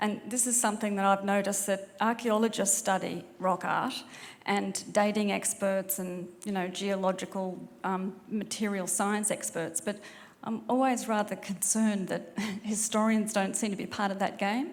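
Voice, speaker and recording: A woman talks with an Australian accent at medium pitch. Her pace is moderate and her intonation fairly even. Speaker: historian. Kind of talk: audience question.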